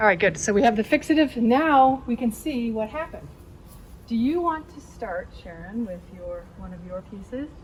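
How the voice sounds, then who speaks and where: With an American accent, a woman has an unremarkable speaking voice, fairly high in pitch, with lively intonation and big swings in loudness. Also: moderate pace. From San Francisco area, US West Coast. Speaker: art teacher. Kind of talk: tutorial. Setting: outdoors.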